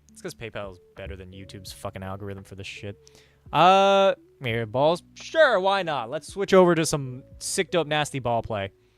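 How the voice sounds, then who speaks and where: With music in the background, a speaker with an American accent swings widely in pitch and heavily in loudness. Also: man, fairly high pitch for a man. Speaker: streamer. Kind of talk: livestream chat. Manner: fast; casual, profane.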